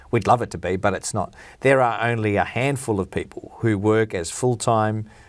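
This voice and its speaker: With an Australian accent, this man's voice sits fairly low. The background is silent and the recording very clean. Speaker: football broadcaster and PR agency founder. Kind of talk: podcast interview.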